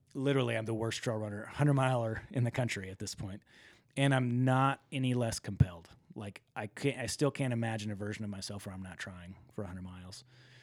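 A man with an unremarkable speaking voice talks at a fairly quick pace and medium pitch, his pitch varying in an ordinary way and his loudness swinging widely, on a very clean recording with a silent background. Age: 40s. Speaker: ultra runner and entrepreneur. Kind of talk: casual interview.

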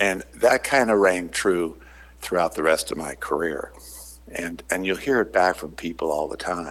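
Vocal fry in a very deep, low male voice, moderately paced, with ordinary pitch variation. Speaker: retired business executive, author. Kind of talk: interview.

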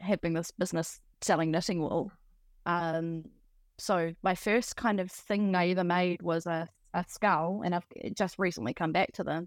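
A woman with a New Zealand accent speaks at a moderate pace with fairly even intonation on a very clean recording with a silent background. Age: 30s. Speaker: artist. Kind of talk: interview.

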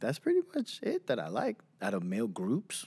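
A man speaks with a New York accent. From Queens and Long Island, New York. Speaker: podcast co-host. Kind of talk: casual chat.

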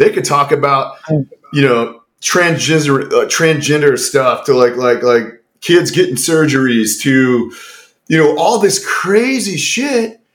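Male speaker, American accent, pitch swinging very widely. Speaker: podcast co-host, former special operator. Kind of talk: casual podcast chat. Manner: profane, casual.

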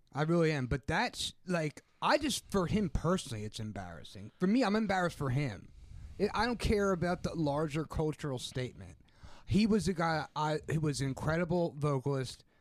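An ordinary speaking voice from a man, fairly high in pitch, at a moderate pace with lively intonation. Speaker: podcast co-host. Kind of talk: casual chat.

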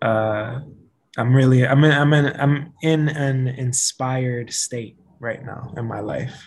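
Somewhat breathy and very slow, a man speaks at a medium pitch with fairly even intonation and big swings in loudness. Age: 30s. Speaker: social worker and podcaster. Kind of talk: casual chat.

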